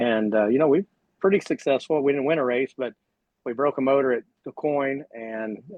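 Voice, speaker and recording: A man with an American accent talks at a fairly quick pace in a medium pitch, a normal speaking voice. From US. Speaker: sprint car driver. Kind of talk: casual chat. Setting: livestream.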